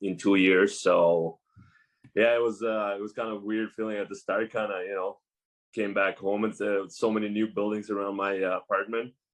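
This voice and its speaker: At a moderate pace, the voice moves with fairly even intonation. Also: man. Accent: Russian. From Russia. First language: Russian. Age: 20s. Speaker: professional hockey player. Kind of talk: podcast interview. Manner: hesitant, many fillers.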